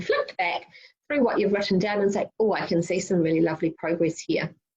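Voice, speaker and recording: A woman with a New Zealand accent speaks at a fairly quick pace. Her medium-pitched voice is somewhat breathy, with ordinary pitch variation. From New Zealand (Wellington). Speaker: youth summit speaker. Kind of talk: prerecorded presentation. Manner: fast.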